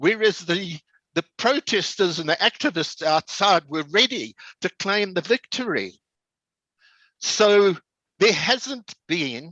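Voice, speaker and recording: In a raised, projected voice, a man speaks very slowly with long, frequent pauses, his high, bright, sharp tone carrying lively intonation in a dry, close sound with no echo. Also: quiet background. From South Africa. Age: 80s+. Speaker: veteran politician and activist. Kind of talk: political talk. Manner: animated.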